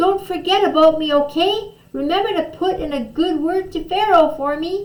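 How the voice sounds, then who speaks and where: In a squeaky put-on character voice, a woman speaks at an extremely high pitch and a moderate pace. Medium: read story.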